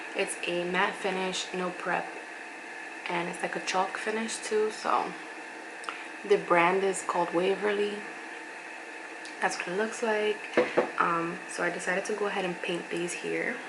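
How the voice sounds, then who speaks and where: Over noticeable background noise and audible room echo, a woman speaks at a medium pitch and a fairly slow pace. Her intonation is monotone and flat, with long, frequent pauses. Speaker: beauty and lifestyle vlogger. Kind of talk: casual vlog talk. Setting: at home, sitting on the floor.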